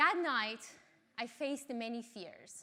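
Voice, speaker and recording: A woman speaks with an Iranian accent at a high pitch. Her pace is very slow. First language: Farsi. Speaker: mountaineer and engineering lecturer. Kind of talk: talk.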